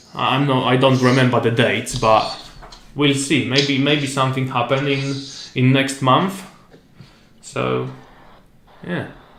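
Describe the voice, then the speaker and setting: With a Polish accent, a man speaks at a fairly slow pace and a medium pitch, his fairly even intonation broken by long, frequent pauses amid audible room echo. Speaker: podcast host. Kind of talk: casual interview. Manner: halting.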